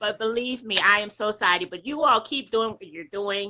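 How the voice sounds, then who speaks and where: Animated tone, bright and sharp, at a fairly quick pace. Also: woman. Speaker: live stream caller. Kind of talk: casual chat. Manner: loud.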